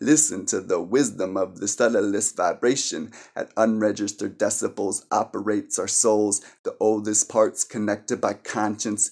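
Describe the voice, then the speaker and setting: Against a quiet background, a man talks at a moderate pace with fairly even intonation and a fairly low pitch. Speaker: poet. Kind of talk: spoken word poetry, performed poem. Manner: earnest, impassioned, preachy tone. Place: home room. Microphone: phone near.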